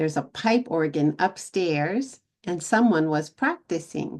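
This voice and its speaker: With an American accent, a woman speaks with lively intonation. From Texas. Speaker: English teacher vlogger. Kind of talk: casual English-learning vlog. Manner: slow, clear for learners.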